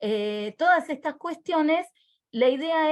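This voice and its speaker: Speaking fairly slowly, a woman uses lively intonation. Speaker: teacher trainer. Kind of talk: online workshop presentation.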